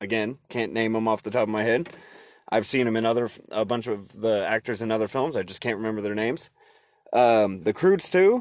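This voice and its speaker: With an American accent and a plain, everyday voice, a man talks at a fairly quick pace, his medium pitch showing ordinary pitch variation against a quiet background. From Oregon. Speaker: podcast host and HVAC tech. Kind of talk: casual chat. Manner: casual, rambling with fillers.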